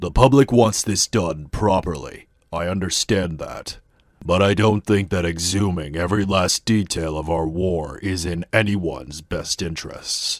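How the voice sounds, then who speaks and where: A cartoonish character voice from a man, very deep and low-pitched, at a moderate pace. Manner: measured, earnest.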